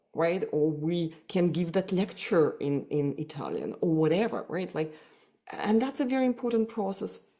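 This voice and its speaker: A woman's fairly low voice at a moderate pace with lively intonation. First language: Russian. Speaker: psychotherapist. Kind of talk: podcast interview. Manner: hesitant, many fillers and repetitions.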